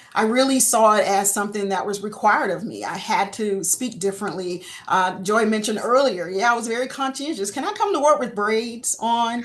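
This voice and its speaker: In a Southern US accent, a woman talks at a fairly quick pace with hardly any pauses, fairly high in pitch with ordinary pitch variation, over noticeable background noise. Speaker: insurance industry panelist. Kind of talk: panel discussion. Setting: webinar.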